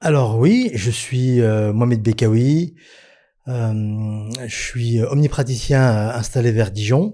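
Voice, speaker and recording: Speaking at a very slow pace, a man uses fairly even intonation and a medium pitch, his tone dark and mellow, on a very clean recording with a silent background. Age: 40s. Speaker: dentist. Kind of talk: casual chat. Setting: podcast interview.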